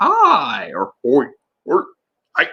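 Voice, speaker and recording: This is a put-on character voice with extremely high pitch. It sounds raspy. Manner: squawky, varied greetings.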